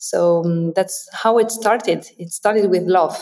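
A woman in a French accent, medium pitch, ordinary pitch variation and a fairly slow pace. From France. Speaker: translation company co-founder. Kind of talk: interview.

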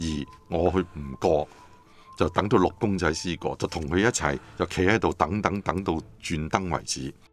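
Over music in the background, a man speaks at a moderate pace in a very deep, low pitch with ordinary pitch variation. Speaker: pastor and seminary head. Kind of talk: interview explaining scripture.

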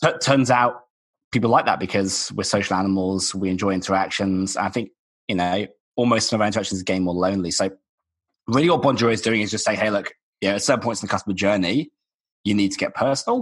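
Against a quiet background, a man talks very fast with ordinary pitch variation. His voice is fairly low. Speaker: tech company founder. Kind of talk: interview.

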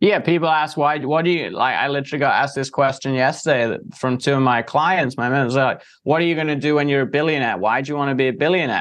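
Speaking very fast with hardly any pauses, a man with an English accent uses a fairly high pitch against a quiet background. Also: fairly even intonation. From England. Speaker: entrepreneur and marketer. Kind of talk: interview.

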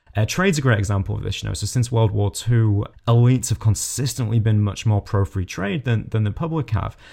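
A man with a British accent speaks in a fairly low pitch, his tone dark, mellow and somewhat breathy. He barely pauses at all. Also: ordinary pitch variation. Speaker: podcast host. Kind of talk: interview.

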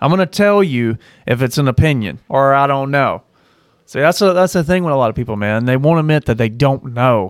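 On a very clean recording with a silent background, a man talks at a fairly quick pace in a normal speaking voice, fairly high in pitch, with lively intonation. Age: 30s. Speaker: podcast co-host. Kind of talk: casual chat.

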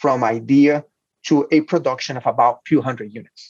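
With a Portuguese accent, a man talks at a fairly high pitch with ordinary pitch variation, the sound dry and close with no echo. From Brazil. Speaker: hardware incubator founder and CEO. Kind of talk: interview. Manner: halting.

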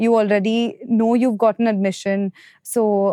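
Monotone and flat in intonation, the voice has a dark, mellow tone and a dry, close sound with no echo. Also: woman, quiet background. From India, Mumbai. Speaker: MBA student and content creator. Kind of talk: interview.

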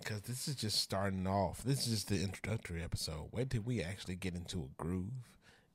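Very fast and with hardly any pauses, a man with an American accent talks at a fairly low pitch, somewhat breathy, with ordinary pitch variation on a very clean recording with a silent background. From Louisiana, US South. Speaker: social media influencer, former teacher. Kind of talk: casual chat. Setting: studio, on camera.

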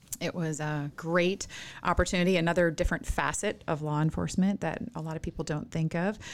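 A woman speaks in an unremarkable speaking voice with an American accent. Her pitch is fairly low, and her intonation is fairly even. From rural Minnesota. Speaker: nonprofit chief executive. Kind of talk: interview conversation.

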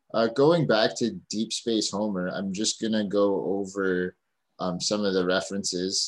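In an ordinary speaking voice, a man talks with a fairly low pitch and fairly even intonation. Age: 30s. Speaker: podcast host and comedian. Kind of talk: casual chat.

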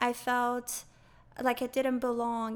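A woman's high-pitched voice in a very clean recording with a silent background. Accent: non-native. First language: not English. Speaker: non-profit founder and educator. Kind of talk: interview.

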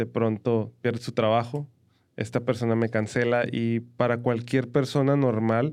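Here a man speaks at a medium pitch. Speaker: podcast co-host with his wife. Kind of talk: casual chat. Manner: animated.

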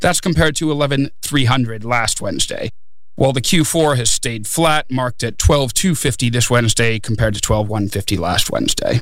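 A man at a moderate pace and medium pitch, with ordinary pitch variation and noticeable background noise. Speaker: freight market analyst. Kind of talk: casual chat.

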